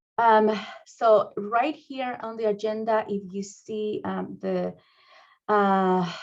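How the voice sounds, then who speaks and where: In a Spanish accent, a woman talks at a very slow pace with a fairly high pitch. Her intonation is fairly even, while her loudness swings widely. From Mexico. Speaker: school district administrator. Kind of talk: training presentation. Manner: halting, many fillers.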